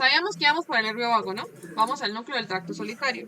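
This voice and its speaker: Noticeable background noise surrounds a woman whose voice is fairly high in pitch. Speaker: medical student presenting. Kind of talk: class presentation over video call. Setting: video call with screen share. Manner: fast.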